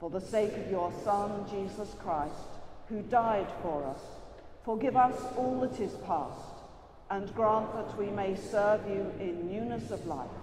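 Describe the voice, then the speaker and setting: Noticeable background noise runs behind speech that moves fairly slowly. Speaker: priest leading prayers. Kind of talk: liturgical prayer. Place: church.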